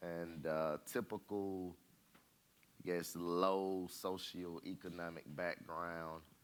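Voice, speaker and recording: A man's very deep, low voice in an Atlanta accent, monotone and flat, at a very slow pace. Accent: Southern US (Atlanta). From Atlanta, Georgia (US South). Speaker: real estate company president. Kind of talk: interview on stage. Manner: halting.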